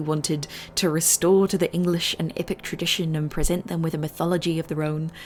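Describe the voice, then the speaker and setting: A woman at a very fast pace, fairly even intonation, music in the background. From New Zealand. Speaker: video essayist. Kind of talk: video essay narration.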